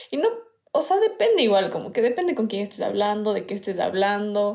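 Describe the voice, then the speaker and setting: Noticeable background noise surrounds this woman's fairly high-pitched voice. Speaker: podcast co-host. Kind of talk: casual chat. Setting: recorded remotely, separately.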